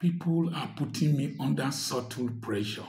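Very slowly, a man speaks in a somewhat breathy voice. Audible room echo surrounds him against a quiet background. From Nigeria. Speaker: doctor and commentator; commentator. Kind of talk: social commentary monologue. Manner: animated. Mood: earnest, complaining about hardship. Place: home room. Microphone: phone near.

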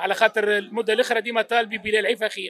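A man with a Tunisian accent talks very fast in a high voice, the sound dry with no echo and crowd noise in the background. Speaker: football fan on the street. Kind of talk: vox pop interview. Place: cafe. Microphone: handheld.

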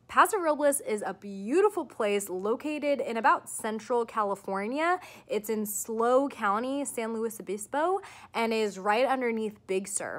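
Here a woman talks at a moderate pace. Her intonation is lively. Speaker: vlogger. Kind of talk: casual vlog chat. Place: home room. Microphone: phone near.

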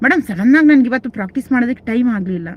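A woman's high-pitched voice with lively intonation, dry and close with no echo. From Karnataka, Mandya district. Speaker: reiki teacher. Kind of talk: live stream Q&A. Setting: live stream.

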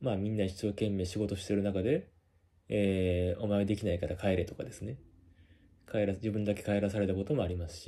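A man's fairly low voice, dark and mellow in tone, with fairly even intonation and a fairly quick pace. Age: 30s. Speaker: company employee and video blogger; vlogger recounting workplace harassment. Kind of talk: monologue. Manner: hesitant, many filler words. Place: home room. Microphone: phone near.

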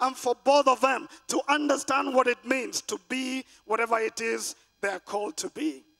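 Over music in the background, a man speaks in an extremely high pitch. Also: ordinary pitch variation, moderate pace. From Kenya. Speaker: pastor. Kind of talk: sermon. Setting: stage with audience. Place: church. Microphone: handheld.

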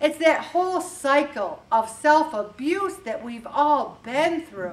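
This is a woman's voice. She has an American accent. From US Northeast (Syracuse, New York). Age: 70s. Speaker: weight loss group leader. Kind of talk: motivational talk. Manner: animated. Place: hall.

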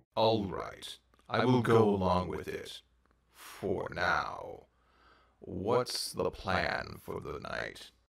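Putting on a raspy character voice, a man delivers his lines at a very slow pace. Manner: grave, commanding.

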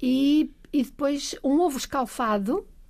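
Dark, mellow tone, very cleanly recorded with total silence behind it. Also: woman. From Trás-os-Montes, Portugal (Bragança). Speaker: science museum agency president. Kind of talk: casual chat.

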